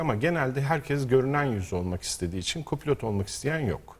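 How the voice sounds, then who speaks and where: Lively intonation marks a man's somewhat breathy voice at medium pitch. He speaks at a fairly quick pace. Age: 50s. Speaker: rally co-driver. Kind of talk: interview. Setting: studio.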